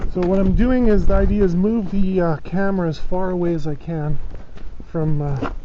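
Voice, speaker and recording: There is noticeable background noise. The pace stays moderate. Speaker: junk removal worker and vlogger. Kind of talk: casual vlog talk while working. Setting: outdoors in a driveway and at an office pickup. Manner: hesitant, many fillers. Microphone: cheap body-worn camera mic that distorts.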